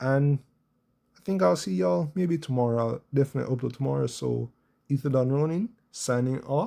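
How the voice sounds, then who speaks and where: A soft-spoken man talks at a fairly quick pace. His intonation is lively. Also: medium pitch for a man. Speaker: gaming youtuber. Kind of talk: casual gameplay commentary.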